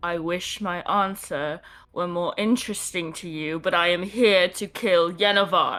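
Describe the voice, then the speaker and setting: A female-sounding voice performs a put-on character at a medium pitch and moderate pace, in a very clean recording with a silent background. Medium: actual play. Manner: defiant, cold.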